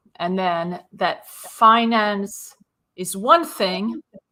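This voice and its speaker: A woman's medium-pitched voice with a Swedish accent and ordinary pitch variation. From Sweden. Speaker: business owner and property consultant. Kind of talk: interview.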